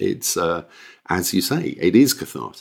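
In a very clean recording with a silent background, a man uses an ordinary speaking voice, fairly low in pitch, at a moderate pace with lively intonation. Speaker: podcast co-host. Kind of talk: casual chat.

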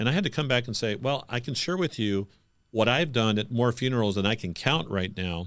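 With an ordinary speaking voice, a man talks at a fairly quick pace with lively intonation and medium pitch, captured in a very clean recording with a silent background. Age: 50s. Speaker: pastor and podcast host. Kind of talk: interview conversation.

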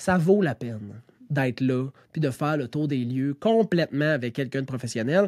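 In a very clean recording with a silent background and a dry, close sound with no echo, a man speaks with a Quebec accent at a fairly slow pace, using lively intonation and an animated tone. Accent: Québécois French. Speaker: real estate broker. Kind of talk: casual podcast monologue.

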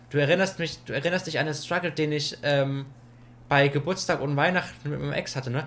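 Here a man speaks at a fairly quick pace with a fairly high pitch. His intonation stays fairly even. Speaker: podcast co-host. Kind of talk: casual chat. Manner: loud.

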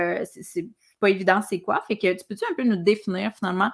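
The speaker is a woman of medium pitch. Her intonation is fairly even. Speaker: podcast host, nutritionist. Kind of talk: solo monologue; casual interview chat.

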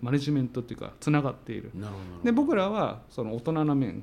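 At a fairly quick pace, a man uses a normal speaking voice with a medium pitch and lively intonation. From Tsuyama, Okayama, Japan. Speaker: company CEO. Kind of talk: interview.

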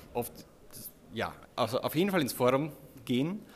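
Lively intonation in an Austrian accent. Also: man. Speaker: web developer, agency co-founder. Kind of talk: casual interview. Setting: recorded at a conference.

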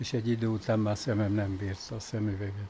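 His fairly low, somewhat breathy voice has a dark, mellow tone and fairly even intonation. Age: 80s+. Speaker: retired factory foreman. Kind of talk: casual interview.

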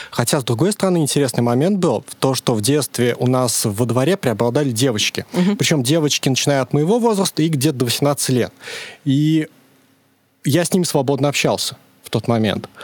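A man with a plain, everyday voice talks fairly quickly at a fairly high pitch with lively intonation and very even loudness, in a dry, close sound with no echo. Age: 30s. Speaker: podcast guest. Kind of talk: casual chat. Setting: studio.

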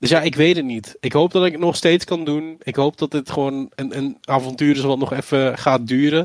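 An unremarkable speaking voice from a man, fairly high in pitch, with fairly even intonation, a moderate pace, hardly any pauses, and a dry, close sound with no echo. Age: 20s. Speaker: esports presenter, former YouTuber. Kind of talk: casual interview.

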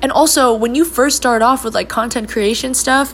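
A woman speaks over noticeable background noise. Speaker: solo podcast host. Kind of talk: casual monologue. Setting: home recording. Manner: fast; loud.

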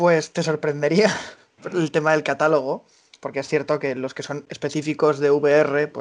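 In an ordinary speaking voice, a man with a fairly high pitch talks at a moderate pace with fairly even intonation and big swings in loudness. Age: 20s. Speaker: association collaborator. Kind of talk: interview. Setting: remote call.

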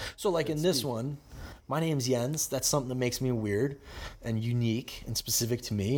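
A man speaks with an American accent at a fairly quick pace. His pitch varies in an ordinary way. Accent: Chicago, inconsistent. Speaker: podcast host. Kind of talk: casual chat.

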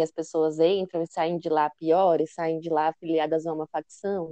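A woman speaks in a dark, mellow tone, the sound dry and close with no echo. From interior of São Paulo state, Brazil. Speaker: master's student researcher. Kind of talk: casual interview chat.

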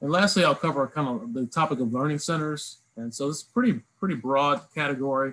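The speaker has an unremarkable speaking voice with an American accent and ordinary pitch variation. The pace is fairly quick, over a quiet background. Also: man. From Virginia, Lynchburg. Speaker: education program development officer, former army officer. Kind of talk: career talk presentation. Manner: frequent fillers (uh, um).

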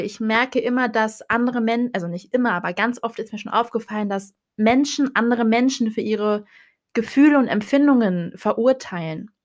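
A woman with a fairly high voice talks at a moderate pace in an animated tone with ordinary pitch variation. The recording is very clean, with a silent background. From northern Germany, Hannover. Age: 20s. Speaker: podcast host, psychology student. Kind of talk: casual monologue.

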